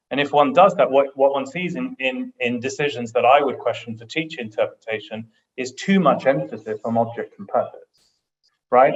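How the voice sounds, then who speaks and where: A man speaks with a British accent. He moves at a fairly quick pace. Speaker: international arbitration lawyer, panelist. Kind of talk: panel discussion. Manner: halting, many repetitions.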